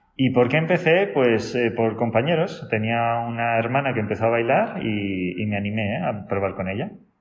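There is audible room echo as a man talks at a moderate pace with hardly any pauses, using lively intonation at a medium pitch. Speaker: salsa teacher. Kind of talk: interview. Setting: dance academy.

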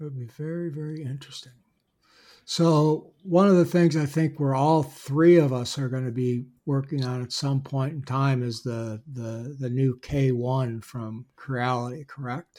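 A man talks in a plain, everyday voice, fairly high in pitch, at a fairly slow pace. His intonation is fairly even, but his loudness swings widely. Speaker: podcast host. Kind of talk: casual chat.

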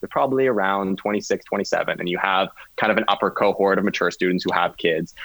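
An ordinary speaking voice with a Canadian accent, fairly even intonation and a fairly quick pace. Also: man, fairly low pitch for a man. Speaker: law student. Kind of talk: casual chat.

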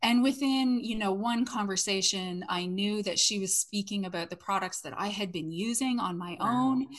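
Somewhat breathy speech in a Canadian accent, moderate in pace, with ordinary pitch variation and hardly any pauses. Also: woman, medium pitch for a woman. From Canada. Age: 40s. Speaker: network marketer and former salon owner. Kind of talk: casual interview chat.

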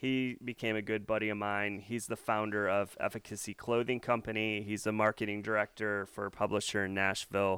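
Against a silent background in a very clean recording, a man with an American accent speaks at a moderate pace with fairly low pitch and fairly even intonation. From US Midwest, north central Illinois. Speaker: local podcast host. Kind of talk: interview.

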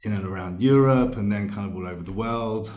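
A man's fairly low voice, dark and mellow in tone, with a London accent. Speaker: sound therapist. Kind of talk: casual chat. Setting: remote call.

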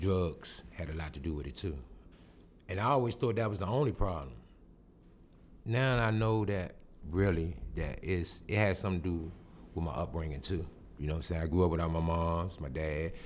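With audible room echo, a man with a very deep, low pitch and lively intonation talks at a fairly quick pace, broken by long, frequent pauses. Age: 40s. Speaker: street newspaper vendor and writer. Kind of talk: interview, personal testimony. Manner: halting, repeats words.

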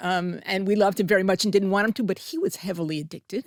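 A voice with a New Jersey accent comes through dry and close with no echo, on a very clean recording with a silent background. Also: woman. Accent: American (New Jersey). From US, New Jersey. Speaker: public health professor. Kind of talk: interview. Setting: studio.

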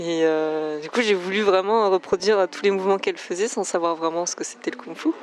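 Noticeable background noise surrounds a woman with a medium pitch. She speaks with hardly any pauses and ordinary pitch variation. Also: fairly quick pace, big swings in loudness. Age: 30s. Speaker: kung fu athlete and osteopath. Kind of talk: interview.

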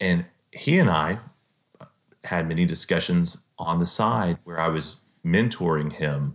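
A man speaks at a very deep, low pitch in a Texan accent. The recording is very clean, with a silent background. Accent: Texan American. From Central Texas. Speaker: author and computer programmer. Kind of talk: interview.

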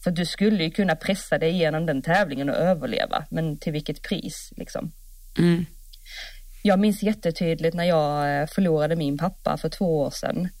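A woman with an ordinary speaking voice, fairly low in pitch, talks at a moderate pace with ordinary pitch variation in a very clean recording with a silent background. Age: 30s. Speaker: podcast co-host, horse rider. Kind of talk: casual chat.

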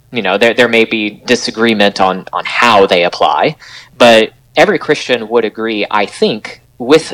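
A man's medium-pitched voice at a moderate pace with ordinary pitch variation, an ordinary speaking voice. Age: 30s. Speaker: author and Bible teacher. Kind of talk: interview.

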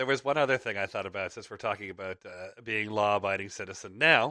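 A man's bright, sharp voice sits at a fairly low pitch with ordinary pitch variation. He moves at a fairly quick pace against a quiet background. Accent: Canadian. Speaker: podcast host. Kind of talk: casual monologue. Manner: halting, with pauses.

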